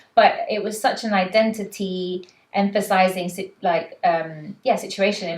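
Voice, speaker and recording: The speaker talks at a fairly slow pace in a London accent. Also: woman. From London, England. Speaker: panelist. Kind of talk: casual chat. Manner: animated.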